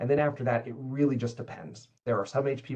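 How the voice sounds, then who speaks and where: A man speaks at a very fast pace in a medium-pitched, somewhat breathy voice. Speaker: cybersecurity manager. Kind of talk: webinar Q&A.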